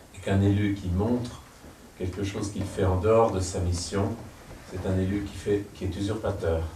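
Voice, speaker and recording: Flat, monotone delivery at a moderate pace with long, frequent pauses, audible room echo and noticeable background noise. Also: man, fairly low pitch for a man. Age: 60s. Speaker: painter and former politician. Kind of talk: public interview before audience.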